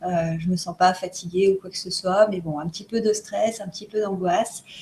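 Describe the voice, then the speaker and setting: Her voice sits at medium pitch. The woman talks at a moderate pace. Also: fairly even intonation, big swings in loudness. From France. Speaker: co-host of self-development video challenge. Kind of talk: casual chat. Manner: halting, many hesitations.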